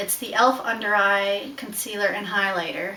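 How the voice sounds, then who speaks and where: A woman with a slight Newfoundland accent speaks at a fairly quick pace, with audible room echo and noticeable background noise. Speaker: beauty vlogger. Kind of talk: casual vlog, makeup tutorial. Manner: animated.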